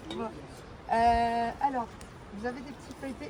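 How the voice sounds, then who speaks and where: A woman's high-pitched voice at a fairly slow pace, with noticeable background noise and audible room echo. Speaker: sommelier giving a wine tasting. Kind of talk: guided wine tasting talk.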